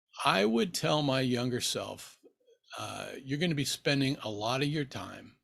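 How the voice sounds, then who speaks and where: This man has an American accent, a medium pitch, ordinary pitch variation and a moderate pace. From Nebraska, US Midwest. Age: 60s. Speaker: book YouTuber. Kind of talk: casual vlog Q&A. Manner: relaxed, with frequent fillers.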